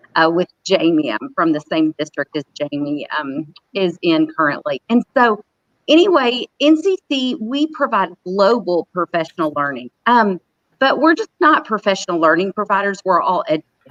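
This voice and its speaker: A woman in a Southern US accent speaks at a medium pitch with very wide pitch swings. The sound is dry and close, with no echo. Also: moderate pace. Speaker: professional learning specialist. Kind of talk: conference panel talk.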